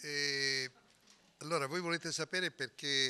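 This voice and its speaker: A man's bright, sharp tone comes with fairly even intonation. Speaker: politician at press statement. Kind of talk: press statement. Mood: firm, argumentative. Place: hall. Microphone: podium.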